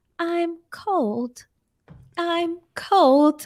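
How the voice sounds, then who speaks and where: Here is a put-on character voice. Its pitch is extremely high. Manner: creepy.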